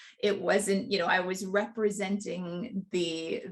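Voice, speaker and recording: The woman's voice has a somewhat breathy quality. She talks very slowly. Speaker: success coach. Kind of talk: presentation.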